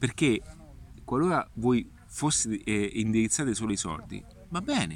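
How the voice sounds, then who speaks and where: Taking long, frequent pauses, a man talks at a fairly slow pace. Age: 40s. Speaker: digital marketing consultant. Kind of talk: casual vlog monologue. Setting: outdoors in a park. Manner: halting, many fillers.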